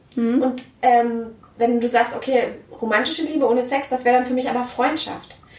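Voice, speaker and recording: An animated woman with a high pitch talks at a moderate pace amid audible room echo and noticeable background noise. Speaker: podcast host. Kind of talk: interview conversation. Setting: home of guests.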